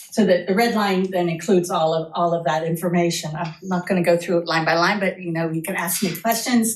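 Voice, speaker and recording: The speech moves at a fairly quick pace with hardly any pauses and fairly even intonation. Noticeable background noise is present. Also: woman, fairly low pitch for a woman. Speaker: city planning staff presenter. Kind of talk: presentation to city council. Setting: council meeting. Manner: fast.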